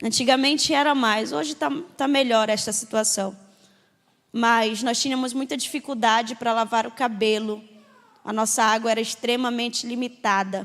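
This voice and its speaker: A woman speaks at a moderate pace in an ordinary speaking voice with a fairly high pitch. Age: 20s. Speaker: missionary. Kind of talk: testimony.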